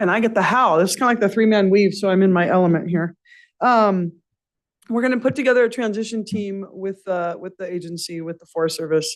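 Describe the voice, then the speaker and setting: A fairly quick pace over a quiet background. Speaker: forest service official. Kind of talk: public meeting report. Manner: fast.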